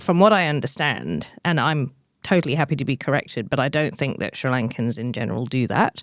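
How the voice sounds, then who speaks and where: In a very clean recording with a silent background, a woman with a very deep, low pitch talks at a fairly quick pace with lively intonation. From London, England. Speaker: entrepreneur and author. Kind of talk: interview.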